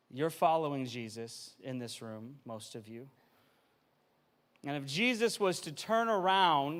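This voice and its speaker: The speech has big swings in loudness, very wide pitch swings and long, frequent pauses, with audible room echo. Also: man, fairly high pitch for a man. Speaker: family pastor. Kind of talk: sermon. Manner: fast-paced, energetic.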